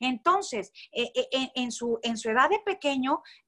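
Music plays in the background as a woman with a high pitch talks at a moderate pace. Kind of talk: religious teaching in conversation.

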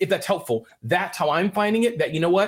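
A high-pitched man speaks very fast with lively intonation. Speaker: guest entrepreneur and speaker. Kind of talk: live interview.

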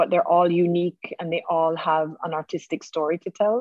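A woman's fairly low-pitched, normal speaking voice with ordinary pitch variation. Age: 40s. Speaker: furniture maker and business owner. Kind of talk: interview.

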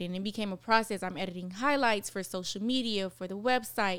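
On a very clean recording with a silent background, a woman speaks in an unremarkable speaking voice. She has an American accent, medium pitch and a moderate pace. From Miami, Florida. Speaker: TV producer. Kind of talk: casual chat.

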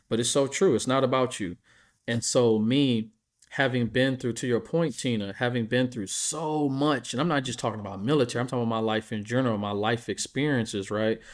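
A man with an American accent and an unremarkable speaking voice, medium pitch with ordinary pitch variation, a fairly quick pace, on a very clean recording with a silent background. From US Midwest. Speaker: veteran and pet business co-founder. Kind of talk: casual chat.

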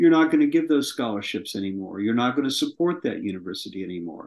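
A man's fairly high voice with an American accent and very wide pitch swings. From US West Coast (southern California). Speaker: screenwriter and producer. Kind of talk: interview.

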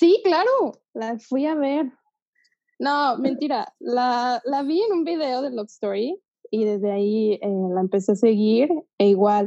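This woman's voice has a dark, mellow tone. She speaks very slowly with lively intonation. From Guadalajara, Mexico. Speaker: marketer, podcast host. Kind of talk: casual chat.

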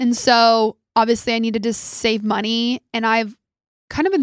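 A woman speaks in a fairly high pitch with fairly even intonation. The sound is dry and close, with no echo. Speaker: podcast host. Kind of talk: casual monologue. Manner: fast.

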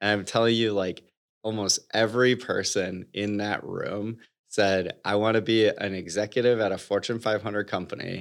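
On a very clean recording with a silent background, a man with an American accent speaks at a moderate pace in a fairly low, monotone, flat voice. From US Midwest, Michigan (Detroit suburbs). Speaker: company CEO. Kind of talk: interview.

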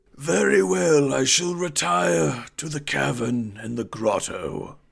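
Putting on a character voice, a man speaks at a fairly slow pace with medium pitch and very wide pitch swings. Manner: servile, formal, suspicious.

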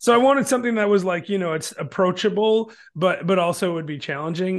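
Against a quiet background, a man with an American accent talks at a very fast pace. His pitch is high and his intonation lively. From Michigan, near Detroit. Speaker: real estate investor and author. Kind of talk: casual interview chat.

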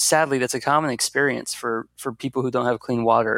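A man speaks in a normal speaking voice at a moderate pace with fairly even intonation. The sound is dry and close with no echo, on a very clean recording with a silent background. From US, Washington DC area (Fairfax County, Virginia). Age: 20s. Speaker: nonprofit founder. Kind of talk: interview.

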